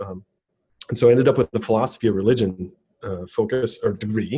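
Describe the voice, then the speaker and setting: Somewhat breathy and fairly low in pitch, a man speaks at a fairly quick pace with ordinary pitch variation. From US Midwest, southeast Wisconsin (Racine). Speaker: tech executive, developer relations director. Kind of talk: casual interview.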